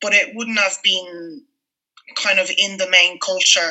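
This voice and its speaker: A woman with a French accent talks at a fairly slow pace with fairly even intonation. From France, Paris. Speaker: food blogger. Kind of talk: interview. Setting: video call.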